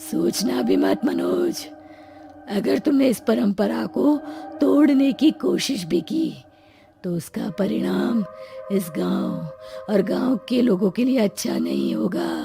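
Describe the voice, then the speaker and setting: A cartoonish character voice moves at a fairly slow pace, with faint music in the background. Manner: commanding, threatening.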